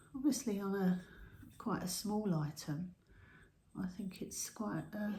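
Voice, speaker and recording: Soft-spoken, with a British accent, at a fairly slow pace. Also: woman. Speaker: pottery YouTuber. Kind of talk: casual show-and-tell video. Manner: halting. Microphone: no microphone, camera audio.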